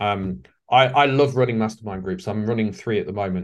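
A man with an English accent speaks at a fairly low pitch and a moderate pace. His pitch varies in an ordinary way over a quiet background. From England. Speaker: leadership facilitator and author. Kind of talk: interview. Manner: hesitant with fillers.

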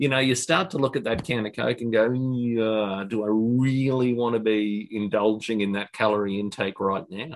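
With a normal speaking voice, a man talks at a medium pitch and a moderate pace, using ordinary pitch variation and hardly any pauses. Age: 50s. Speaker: business manager, fitness client. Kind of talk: interview.

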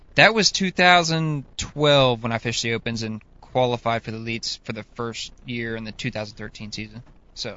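Speaking at a moderate pace with an American accent, this is an ordinary speaking voice with ordinary pitch variation and big swings in loudness. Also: man, medium pitch for a man. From Northeast Oklahoma. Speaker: professional bass angler. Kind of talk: casual chat. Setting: studio.

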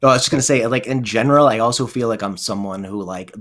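A man talks at a medium pitch with an American accent. His pitch variation is ordinary. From US Northeast (New Jersey). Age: 40s. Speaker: nurse and musician. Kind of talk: casual interview. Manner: halting, many fillers.

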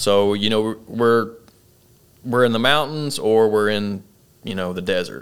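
A man with an Arkansas accent, fairly low pitch, ordinary pitch variation, a fairly slow pace and long, frequent pauses. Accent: Southern US (Arkansas). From central Arkansas. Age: 20s. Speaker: army officer and CrossFit coach. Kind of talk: casual interview. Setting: studio, in person.

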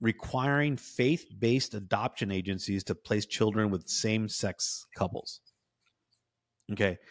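The speaker has an unremarkable speaking voice with ordinary pitch variation, in an American accent. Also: man. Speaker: podcast host. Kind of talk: casual conversational commentary.

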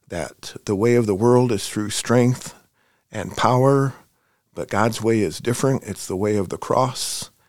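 With a normal speaking voice, a man of medium pitch speaks at a fairly slow pace with ordinary pitch variation on a very clean recording with a silent background. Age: 40s. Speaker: missionary. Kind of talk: interview.

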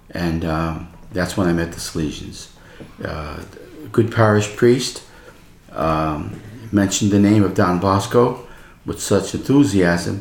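With an American accent, the speaker talks at a fairly slow pace with ordinary pitch variation and long, frequent pauses, against noticeable background noise. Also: man. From New York City. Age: 80s+. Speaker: religious brother. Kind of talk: casual chat. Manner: animated.

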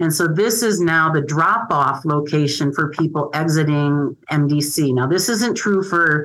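A woman with an American accent speaks in a very deep, low pitch with ordinary pitch variation. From Michigan. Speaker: social worker. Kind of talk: interview.

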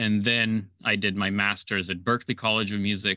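A man with a Slovenian accent, fairly low pitch, fairly even intonation and a moderate pace. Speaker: film composer. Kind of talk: interview.

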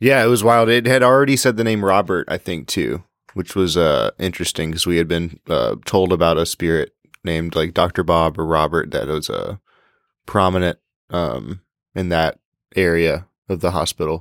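Very deep and low, a man's voice moves at a moderate pace with ordinary pitch variation, captured as a very clean recording with a silent background and a dry, close sound with no echo. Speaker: paranormal investigator on the trip. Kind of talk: casual conversation.

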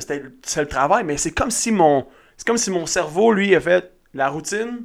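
Speaking fairly slowly, a man uses a high pitch and lively intonation. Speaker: podcast co-host, entrepreneur. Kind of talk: casual chat.

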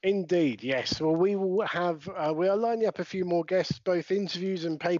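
A man talks in a British accent at a high pitch. His pitch varies an ordinary amount. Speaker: podcast host. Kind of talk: casual podcast interview. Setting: remote recording during lockdown.

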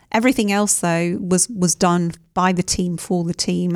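A woman speaks at a moderate pace in a normal speaking voice. Her pitch is fairly low. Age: 50s. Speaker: team coach and author. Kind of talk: interview.

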